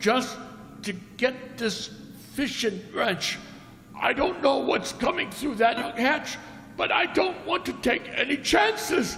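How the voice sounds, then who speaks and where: A man puts on a character voice, extremely high for a man, with lively intonation. He goes fairly slowly with long, frequent pauses, amid clear background noise and clear echo. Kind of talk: 1940s radio acting. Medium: stage play. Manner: plain-spoken, earnest.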